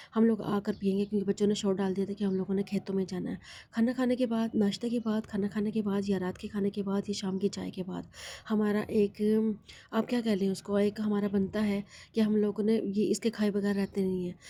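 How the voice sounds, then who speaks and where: The delivery is monotone and flat, with a dark, mellow tone, a somewhat breathy quality and a moderate pace. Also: woman, medium pitch for a woman. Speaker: vlogger. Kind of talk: vlog narration. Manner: rambling, repetitive.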